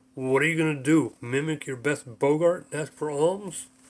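A man speaks at a moderate pace in a put-on character voice pitched fairly high. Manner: excitable, impulsive.

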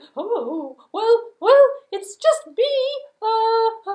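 A woman's cartoonish character voice at an extremely high pitch. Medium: puppet.

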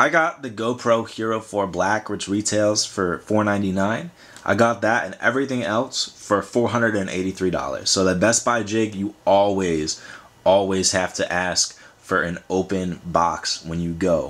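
Speaking very slowly, a man uses a fairly low pitch and ordinary pitch variation. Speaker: vlogger. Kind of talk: casual vlog chat. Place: home room.

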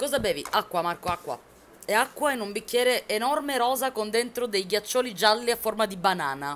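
Lively intonation carries speech delivered at a fairly quick pace. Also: woman, fairly high pitch for a woman. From Sicily (Palermo); Sicily. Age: 20s. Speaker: gaming streamer. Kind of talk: live stream chat while gaming. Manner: quieter than usual, holding back shouting; chatty, animated. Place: home room.

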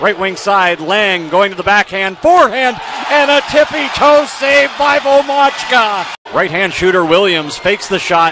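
Raising and projecting his voice, a man speaks at a high pitch with lively intonation, the sound dry with no echo and noticeable background noise behind him. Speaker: hockey play-by-play announcer. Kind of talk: live sports commentary, play-by-play of a hockey game. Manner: builds excitement on fights and goals. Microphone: headset.

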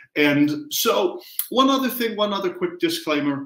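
Audible room echo is present, and the pitch rises and falls in an ordinary way. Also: man. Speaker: test prep tutor. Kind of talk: lecture. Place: home room. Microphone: headset.

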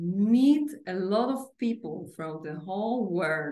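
Speaking very slowly, a woman with a medium pitch and a dark, mellow tone uses lively intonation. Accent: Polish. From Poland. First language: Polish. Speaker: financial consultant and English learner. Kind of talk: casual interview. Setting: video call. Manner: halting.

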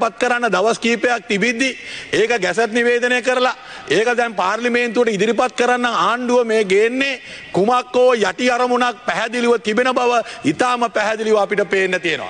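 The delivery is fairly slow, with fairly even intonation and very even loudness. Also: man. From Sri Lanka. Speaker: opposition politician. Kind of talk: political statement to media. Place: hall. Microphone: podium.

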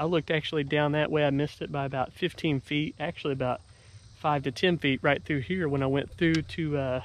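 A man speaks at a very fast pace. The sound is dry, with no echo. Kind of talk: casual vlog chat. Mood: relieved, thankful. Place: open country.

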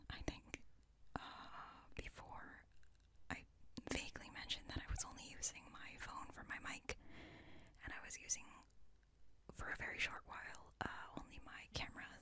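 A soft-spoken woman whispers at a moderate pace with long, frequent pauses and big swings in loudness, over noticeable background noise. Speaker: ASMR creator. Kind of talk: casual Q&A chat, soft-spoken. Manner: soft close whisper. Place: home room.

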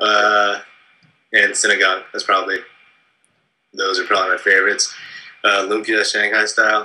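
Pausing long and often, a man with a Californian accent otherwise moves at a fairly quick pace. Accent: Californian American English. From San Francisco Bay Area, California. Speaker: film writer-director; interviewee. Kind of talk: interview. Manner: casual, many fillers. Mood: relaxed, amused. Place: home room. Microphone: webcam.

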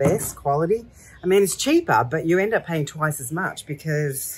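Somewhat breathy, the voice moves with lively intonation. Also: woman. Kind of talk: casual vlog chat. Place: garden. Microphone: camera far.

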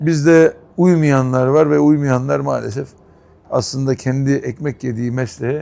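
A man speaks in a dark, mellow tone. His pace is fairly slow, and his pitch varies in an ordinary way. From Istanbul, Turkey. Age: 50s. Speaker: restaurant owner. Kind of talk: interview.

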